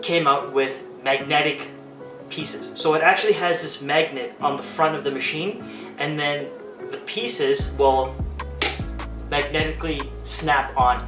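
A man at a fairly slow pace with long, frequent pauses, clear music playing in the background. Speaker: barber reviewing a product. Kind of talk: product review tutorial. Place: home room.

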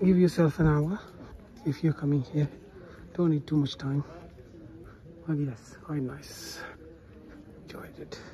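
Long, frequent pauses break up speech at a fairly slow pace. Light background noise is present. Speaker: travel vlogger. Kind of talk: casual vlog chat. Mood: impressed, enthusiastic. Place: street. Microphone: phone near.

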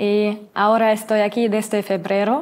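In a German accent, a woman speaks at a very slow pace, her fairly high pitch held in fairly even intonation. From Germany, Mainz; Germany. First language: German (speaking Spanish). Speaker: trainee teacher, university student; trainee teacher. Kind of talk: interview. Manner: halting, many fillers. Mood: friendly, smiling. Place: studio.

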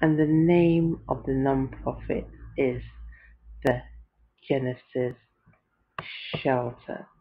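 A woman with a British accent talks at a very slow pace, leaving long, frequent pauses. Her loudness stays very even. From United Kingdom. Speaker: podcaster. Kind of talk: casual podcast talk.

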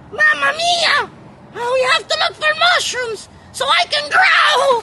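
A put-on character voice speaks at an extremely high pitch with very wide pitch swings. The pace is fairly slow, with light background noise. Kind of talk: character skit.

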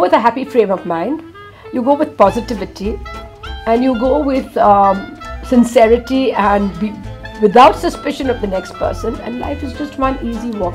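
Clear music plays in the background as a high-pitched woman speaks at a moderate pace. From India. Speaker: world traveller. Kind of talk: interview answer. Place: studio.

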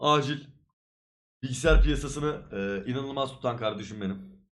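At a moderate pace, a man's pitch swings very widely. There is audible room echo. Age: 20s. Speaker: streamer. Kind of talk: casual chat.

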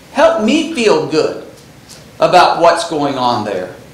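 Audible room echo surrounds the recording. A man speaks at a very slow pace. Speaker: Bible class teacher. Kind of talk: lecture. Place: church. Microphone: lapel.

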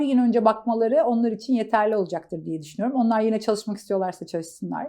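A woman speaks in a dark, mellow tone over a quiet background. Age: 40s. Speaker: marketing agency founder. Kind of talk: interview. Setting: office.

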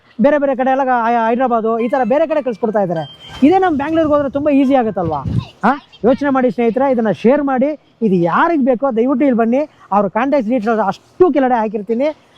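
A man speaks at an extremely high pitch with ordinary pitch variation. Noticeable background noise runs underneath. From Karnataka, Chitradurga district. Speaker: village vlogger. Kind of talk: vlog interview.

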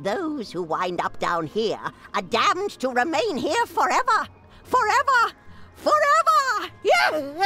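In a put-on character voice, raised and projected, the speaker goes at a fairly slow pace with an extremely high pitch while clear music plays in the background. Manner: menacing, ominous.

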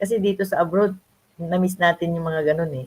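At a fairly quick pace, a woman talks in a somewhat breathy, fairly low voice. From Philippines, Nueva Ecija (Ilocano). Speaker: online business mentor. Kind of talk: live stream interview.

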